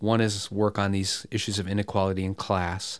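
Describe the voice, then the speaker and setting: On a very clean recording with a silent background, a man with an American accent speaks at a moderate pace and fairly low pitch. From US Midwest, Michigan (Detroit suburbs). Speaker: economic justice activist and author. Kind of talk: interview. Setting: office.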